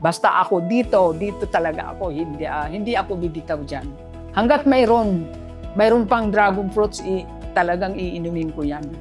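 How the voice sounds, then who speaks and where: Music plays in the background. The speaker talks at a moderate pace with lively intonation. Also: woman, fairly low pitch for a woman. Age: 70s. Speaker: Zumba instructor. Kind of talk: product testimonial.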